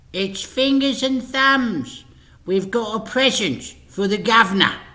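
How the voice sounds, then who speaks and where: A man talks in a put-on character voice, pitched high. His voice is raised and projected. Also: fairly slow pace, ordinary pitch variation. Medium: read story.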